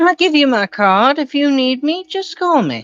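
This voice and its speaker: This is a put-on character voice, pitched high. It moves at a moderate pace. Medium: actual play. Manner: relaxed but quietly menacing.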